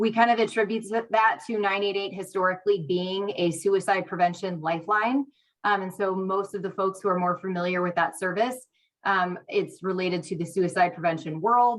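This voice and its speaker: A woman talks at a fairly quick pace in a medium pitch. Hers is an unremarkable speaking voice, with fairly even intonation. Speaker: state crisis line program manager. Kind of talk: meeting presentation. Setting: hybrid meeting, remote or in person.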